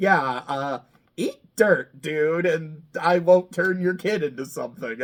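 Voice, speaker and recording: Putting on a character voice, a man talks fairly slowly in a squeaky, high pitch. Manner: threatening.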